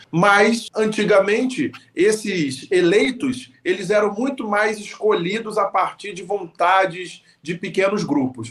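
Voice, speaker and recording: A man's high voice with ordinary pitch variation at a very slow pace, against noticeable background noise. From Rio de Janeiro, Zona Oeste (Vila Kennedy). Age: 40s. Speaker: local party leader. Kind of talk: interview.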